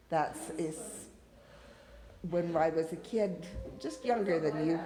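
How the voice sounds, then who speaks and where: Amid noticeable background noise and audible room echo, a woman with an American accent speaks very slowly at a fairly low pitch, using lively intonation. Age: 60s. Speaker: family member interviewee. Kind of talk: casual family interview.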